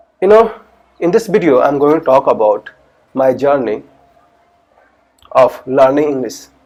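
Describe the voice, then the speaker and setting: A man with an Indian accent speaks with very wide pitch swings. He leaves long, frequent pauses. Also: fairly high pitch for a man, moderate pace. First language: Hindi. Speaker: English learner. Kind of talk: casual talk to camera.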